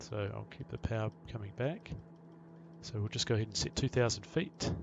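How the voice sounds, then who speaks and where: With a New Zealand accent, a man speaks at a fairly quick pace. His pitch is fairly low and his intonation lively. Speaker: pilot and flight sim tutorial maker. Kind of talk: tutorial. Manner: fast.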